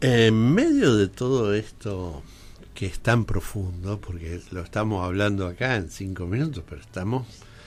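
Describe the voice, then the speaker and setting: A man speaks at a fairly low pitch. Music plays in the background. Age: 60s. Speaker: radio host. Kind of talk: radio interview. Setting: radio studio.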